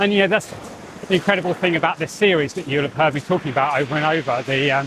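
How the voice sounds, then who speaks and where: A man with a southern English accent speaks very fast at a fairly high pitch, with ordinary pitch variation and noticeable background noise. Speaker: spiritual teacher and channeler. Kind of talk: walk-and-talk monologue. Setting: outdoors, on a walk. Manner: loud.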